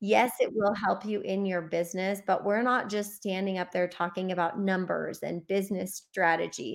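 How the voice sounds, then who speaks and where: A woman with an American accent and an unremarkable speaking voice, medium in pitch, with fairly even intonation at a moderate pace and hardly any pauses, in a very clean recording over a silent background. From US Midwest. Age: 40s. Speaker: business coach. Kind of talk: interview.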